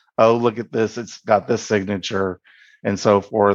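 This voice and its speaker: This is a plain, everyday voice with fairly even intonation. The sound is dry and close with no echo, against a quiet background. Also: man. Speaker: university cybersecurity staff. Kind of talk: interview recollection.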